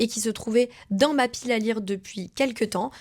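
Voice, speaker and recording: On a very clean recording with a silent background, a woman speaks at a high pitch with ordinary pitch variation. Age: 20s. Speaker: vlogger. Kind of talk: casual vlog talk to camera. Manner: fast.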